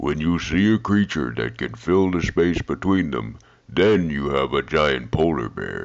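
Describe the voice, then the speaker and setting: A cartoonish character voice delivers the lines at a moderate pace. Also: man, very deep, low pitch for a man. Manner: unbothered, amused.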